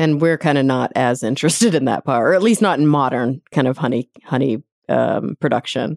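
Very deep and low for a woman, her voice has vocal fry, lively intonation and a fairly quick pace. Loudness stays very even, and the recording is very clean, dry and close, with no echo and a silent background. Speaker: podcast host. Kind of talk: interview.

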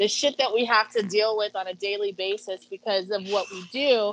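A woman speaks fairly quickly in a medium pitch with a plain, everyday voice, the sound dry and close with no echo. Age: 40s. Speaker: adult entertainer and body positivity advocate. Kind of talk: casual chat.

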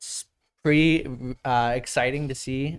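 At a fairly slow pace, a man speaks in an unremarkable speaking voice with medium pitch. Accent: American. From US Northeast, New Jersey. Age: 20s. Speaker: youth strength coach, former teacher. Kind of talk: casual chat. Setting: studio.

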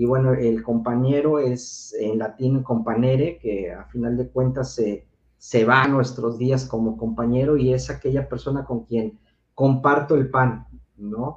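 Somewhat breathy, a man speaks fairly slowly at medium pitch with fairly even intonation. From Mexico City. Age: 40s. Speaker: sex educator. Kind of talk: casual chat.

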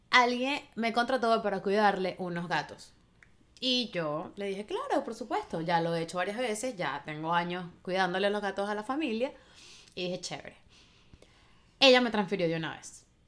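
Lively intonation marks a normal speaking voice. The pace is moderate. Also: woman, medium pitch for a woman. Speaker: podcast co-host. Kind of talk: casual chat.

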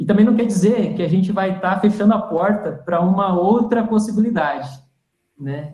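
Fairly quick speech moves along with ordinary pitch variation. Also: man, high pitch for a man. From Rio Grande do Sul, Brazil. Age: 30s. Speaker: startup CEO, electrical engineer. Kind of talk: live interview. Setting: online live stream.

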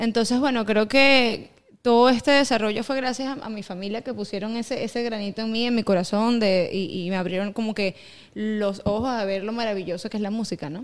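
At a fairly quick pace, a woman talks in a fairly high voice with ordinary pitch variation. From Venezuela (east, raised in Caracas). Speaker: singer. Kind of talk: casual interview. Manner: halting, many fillers.

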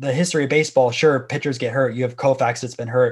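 A man with an American accent speaks in a normal speaking voice, his medium pitch carried on fairly even intonation. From Florida, Tampa area. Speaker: sports card YouTuber. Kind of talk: casual interview chat.

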